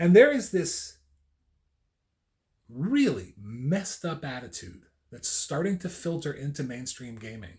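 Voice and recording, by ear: A man speaks slowly at a fairly high pitch, with big pitch swings. His tone is slightly mellow.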